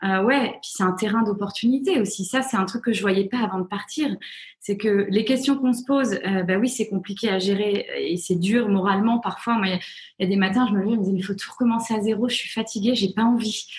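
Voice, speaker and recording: A woman's fairly high voice moves fairly quickly, with ordinary pitch variation. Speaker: author and journalist. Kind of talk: interview. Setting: video call.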